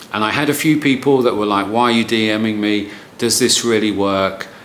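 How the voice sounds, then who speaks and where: Audible room echo around a man speaking at a moderate pace, his pitch fairly low. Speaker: marketing consultant. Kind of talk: tutorial. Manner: casual, with fillers and repeats.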